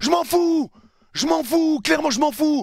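Furious in tone, a man speaks at a fairly quick pace. The sound is dry with no echo, and the background is quiet. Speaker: football youtuber and match commentator. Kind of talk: angry rant, post-match video debrief. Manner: furious, heated, venting; emphatic, repetitive, insistent. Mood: frustrated, angry, disappointed. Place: home room. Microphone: headset.

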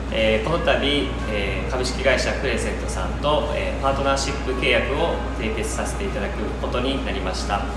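A man speaks at a moderate pace over loud background noise, with audible echo in the room. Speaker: restaurant owner. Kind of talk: promotional announcement. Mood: polite, formal, slightly nervous. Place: cafe. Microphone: camera far.

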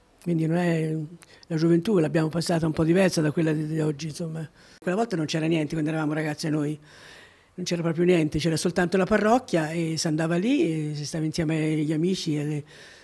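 Very fast and with fairly even intonation, a woman speaks at a very deep, low pitch in a dark, mellow tone on a very clean recording with a silent background. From Jesi, Marche, central Italy. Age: 80s+. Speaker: retired parish volunteer recalling her life. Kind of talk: life-story interview. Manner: halting, with many repetitions.

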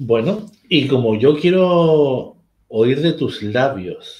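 A man at medium pitch speaks with a slightly mellow tone and ordinary pitch variation, and the room echo is audible.

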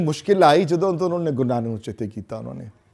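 The voice has a dark, mellow tone and very wide pitch swings. It moves at a fairly slow pace over a quiet background. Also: man. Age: 60s. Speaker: religious teacher. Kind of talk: lecture. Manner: halting. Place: classroom.

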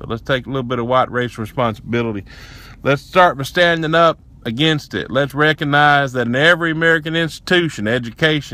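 In a strong Southern US accent, a man talks at a very fast pace with a bright, sharp tone and ordinary pitch variation, the sound dry with no echo. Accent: heavy Southern US. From Tennessee, USA. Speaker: racial justice activist. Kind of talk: casual talk to camera. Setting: inside a pickup truck. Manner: impassioned, profane rant. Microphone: phone near.

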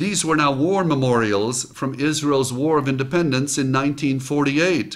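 Someone with an American accent talks at a fairly slow pace. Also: man. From United States. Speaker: motivational speaker. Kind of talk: motivational talk with personal story. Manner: enthusiastic. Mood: reflective, earnest storytelling. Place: home room. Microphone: studio mic.

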